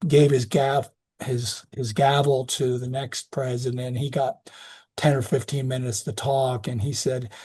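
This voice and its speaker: Somewhat breathy and fairly slow, a man talks at a medium pitch with fairly even intonation. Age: 60s. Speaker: physician specializing in geriatrics. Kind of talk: lecture. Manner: halting.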